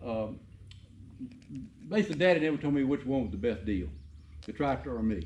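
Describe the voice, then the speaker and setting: A man with a Southern US accent speaks in a fairly high voice with a dark, mellow tone. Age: 70s. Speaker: farmer and shop builder. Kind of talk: casual chat.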